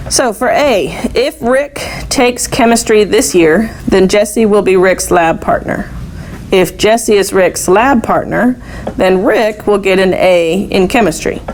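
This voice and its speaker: A woman's medium-pitched voice, fairly slow and very even in loudness, with lively intonation and noticeable background noise. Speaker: math teacher. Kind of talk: classroom lecture.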